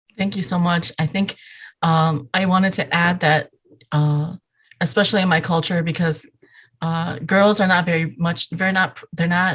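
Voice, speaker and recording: Someone with a Southeast Asian accent speaks at a moderate pace and a very even loudness. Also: woman, fairly low pitch for a woman, ordinary pitch variation. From Iowa, US (Hmong refugee family, born Thailand). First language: Hmong. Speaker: app developer. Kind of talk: interview podcast. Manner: hesitant with fillers.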